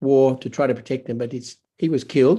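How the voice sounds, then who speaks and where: Using a dark, mellow tone, a man talks at a moderate pace with a medium pitch and fairly even intonation. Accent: Australian. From Australia. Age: 70s. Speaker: pastor. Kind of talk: testimony. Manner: halting.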